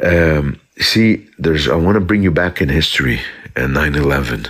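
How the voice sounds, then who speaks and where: A man speaks with an Arabic accent at a very deep, low pitch. His intonation is lively and his pace is moderate. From South Lebanon. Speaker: commentator in a live chat. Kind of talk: casual live chat. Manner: halting, many repetitions; animated.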